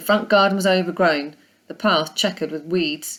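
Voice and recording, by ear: A woman talks at a moderate pace with fairly low pitch. Her pitch varies in an ordinary way.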